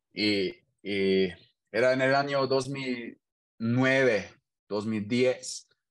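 This voice has a German accent and ordinary pitch variation, set against a quiet background. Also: man. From Germany, Hannover. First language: German (speaking Spanish). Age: 30s. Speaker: engineer and DJ. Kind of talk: casual interview. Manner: halting, repeats words.

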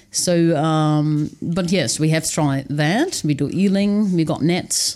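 A woman speaks at a very slow pace in a very deep, low pitch, with a dark, mellow tone and ordinary pitch variation. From Netherlands. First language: Dutch. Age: 30s. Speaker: author and wilderness dweller. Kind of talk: casual interview. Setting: studio.

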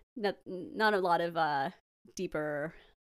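In a very clean recording with a silent background, someone with an American accent speaks with lively intonation. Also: woman. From US West Coast. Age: 20s. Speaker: podcast guest. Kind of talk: casual interview chat.

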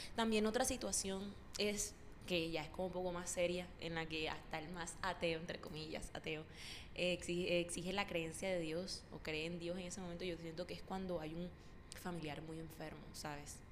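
A woman speaks at a moderate pace in a fairly low voice with fairly even intonation. Audible room echo surrounds her. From Córdoba, Colombia. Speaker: podcast co-host, university student. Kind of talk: casual chat. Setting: empty university room.

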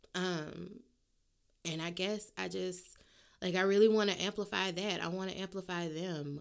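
A woman with a New Orleans accent at medium pitch, moderate pace, fairly even intonation, and long, frequent pauses. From US South, New Orleans. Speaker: podcast host. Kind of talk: casual solo monologue.

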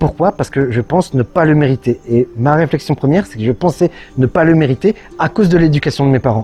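A man's fairly high-pitched voice, fairly quick and with lively intonation. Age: 30s. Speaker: YouTuber and entrepreneur. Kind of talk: personal video monologue. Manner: hesitant, many fillers.

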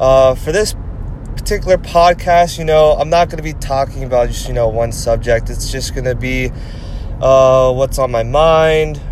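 A man talks at a middling speed, with noticeable noise in the background. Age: 20s. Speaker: podcast host. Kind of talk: casual monologue. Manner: hesitant, many fillers.

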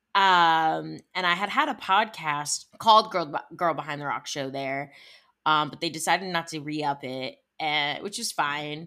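Animated and bright with a sharp tone, a woman with a very deep, low pitch speaks in an American accent at a moderate pace with ordinary pitch variation. Her loudness swings widely on a very clean recording with a silent background. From Ohio, Cleveland area. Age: 20s. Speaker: music industry entrepreneur. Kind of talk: casual interview.

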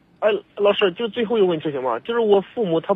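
Very fast speech in a Hebei accent. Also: man. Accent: regional Hebei accent noted. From Hebei, China. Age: 30s. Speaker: caller. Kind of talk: phone-in advice call. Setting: phone call. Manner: halting, stammering.

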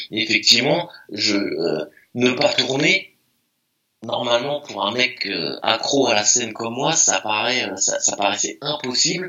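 Using a plain, everyday voice, a man speaks at medium pitch and a fairly slow pace. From France, Meaux (Seine-et-Marne, east of Paris). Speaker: DJ and graffiti artist. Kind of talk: casual interview chat.

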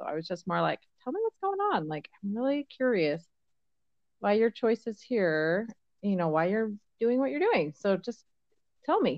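A woman of medium pitch speaks at a moderate pace with long, frequent pauses. Her pitch swings very widely. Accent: American. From Colorado. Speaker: podcast host. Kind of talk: casual chat.

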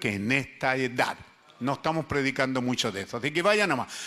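A man speaks at medium pitch with lively intonation. His tone is bright and sharp. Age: 70s. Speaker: pastor. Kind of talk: sermon. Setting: church.

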